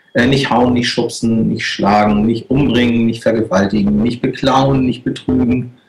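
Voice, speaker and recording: This man has a normal speaking voice, medium in pitch, and talks at a moderate pace. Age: 40s. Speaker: guest, business professional. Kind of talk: panel discussion.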